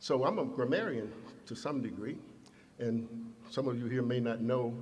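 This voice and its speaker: Audible room echo surrounds a man's voice. He speaks at medium pitch with fairly even intonation. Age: 70s. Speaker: imam. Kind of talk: sermon. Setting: mosque.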